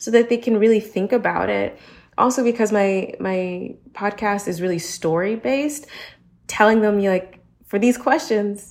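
A woman with an American accent speaks in a normal speaking voice at a moderate pace, her intonation lively. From United States. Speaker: podcaster. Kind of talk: panel discussion.

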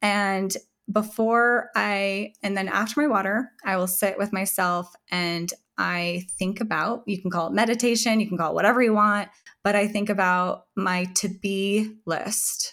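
With fairly even intonation, a woman talks in a normal speaking voice. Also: medium pitch for a woman, fairly slow pace. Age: 40s. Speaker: entrepreneur and author on women's hormone health. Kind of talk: interview conversation.

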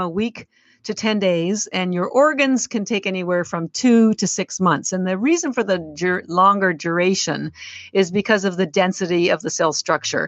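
A woman with a normal speaking voice keeps to a moderate tempo at medium pitch, her pitch varying an ordinary amount. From Canada. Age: 60s. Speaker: company founder. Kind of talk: casual interview.

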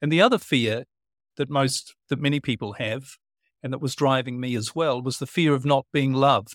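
With a New Zealand accent, a man speaks at a moderate pace and fairly even intonation on a very clean recording with a silent background. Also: medium pitch for a man, dry, close sound with no echo. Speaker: transformative teacher, speaker and author. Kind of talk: casual interview conversation.

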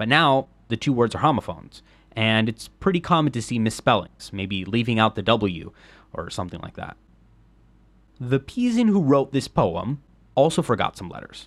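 Speaking at a moderate pace with a medium pitch and lively intonation, a man leaves long, frequent pauses and makes big swings in loudness, on a very clean recording with a silent background. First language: Spanish. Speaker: history podcaster. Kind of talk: scripted narration.

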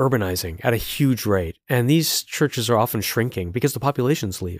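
A man with an ordinary speaking voice talks at a fairly quick pace in medium pitch with lively intonation, on a very clean recording with a silent background. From Montreal, Quebec, Canada. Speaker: journalist and author. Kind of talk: interview.

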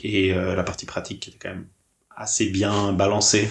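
A man's somewhat breathy, fairly low voice at a moderate pace, flat and monotone in intonation. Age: 30s. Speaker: graphic designer. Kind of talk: interview conversation.

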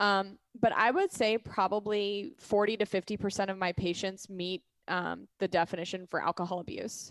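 A woman talks at a moderate pace and medium pitch with hardly any pauses and fairly even intonation, a plain, everyday voice on a very clean recording with a silent background and a dry, close sound with no echo. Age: 30s. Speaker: physician assistant. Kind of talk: casual chat.

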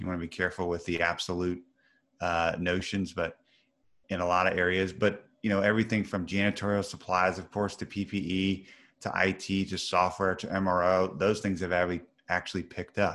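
The speech comes in a Midwestern American accent with a monotone, flat intonation. It moves at a moderate pace against a quiet background. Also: man. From US Midwest (Missouri). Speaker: business executive in procurement. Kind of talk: interview.

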